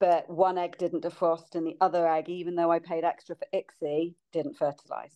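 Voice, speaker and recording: A woman's fairly low voice with a British accent, monotone and flat, with hardly any pauses, in a dry, close sound with no echo. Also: moderate pace. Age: 40s. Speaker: podcast guest sharing fertility journey. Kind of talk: casual chat.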